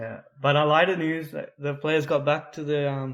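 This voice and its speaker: Speaking at a moderate pace with an Australian accent, a man holds a monotone, flat intonation at a fairly high pitch, recorded very cleanly against a silent background. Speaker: football podcast co-host. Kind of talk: casual chat. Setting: podcast recording. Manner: trying to speak louder.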